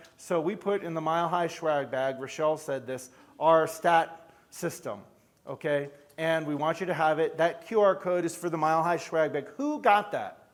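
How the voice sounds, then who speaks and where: A man speaks at a moderate pace with a New York accent. His pitch is fairly high, with ordinary pitch variation. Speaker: chiropractor and event leader. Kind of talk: conference stage talk.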